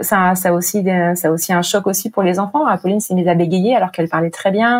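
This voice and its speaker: Her pitch is medium. The woman's delivery runs at a very fast pace. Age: 40s. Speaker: breast cancer survivor and charity project officer. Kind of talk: personal testimony interview. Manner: hesitant, many fillers.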